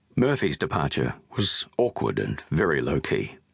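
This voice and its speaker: A man is speaking. His voice carries vocal fry. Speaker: audiobook narrator. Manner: measured, sombre narration shifting into quoted recollections of departure and grief.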